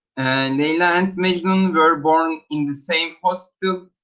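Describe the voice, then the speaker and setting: With a Turkish accent, a man speaks at a very slow pace in a high pitch with fairly even intonation. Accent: Turkish accent, self-noted. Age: 20s. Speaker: student. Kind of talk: language class self-introduction. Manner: halting.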